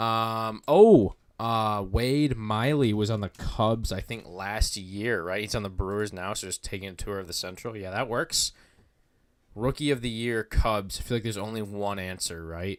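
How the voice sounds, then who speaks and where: On a very clean recording with a silent background, a man with a fairly low pitch speaks fairly slowly with ordinary pitch variation. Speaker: baseball content creator. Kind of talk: live stream commentary. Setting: live stream. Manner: loud; casual, filler-heavy.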